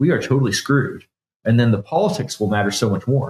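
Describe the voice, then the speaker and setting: With a Canadian accent, a man speaks in a somewhat breathy voice at medium pitch with ordinary pitch variation. The recording is very clean, with a silent background. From Canada. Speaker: bitcoin developer. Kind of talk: technical interview. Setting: studio.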